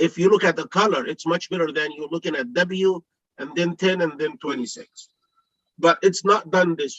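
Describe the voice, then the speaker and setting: A man speaks in a high pitch with big swings in loudness. The sound is dry and close, with no echo. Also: ordinary pitch variation. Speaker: board commissioner. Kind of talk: public hearing deliberation. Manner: slow; halting, repeats words.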